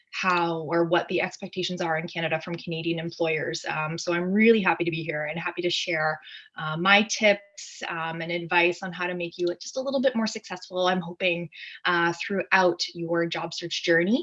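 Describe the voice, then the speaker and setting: Noticeable background noise sits behind a woman whose fairly low pitch carries fairly even intonation. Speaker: career counsellor. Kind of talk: webinar presentation. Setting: video call. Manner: fast.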